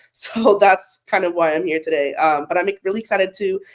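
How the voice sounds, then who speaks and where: Speaking at a fairly quick pace, a woman talks in an American accent. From US West Coast, Ventura County California. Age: 20s. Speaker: panelist. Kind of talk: panel discussion.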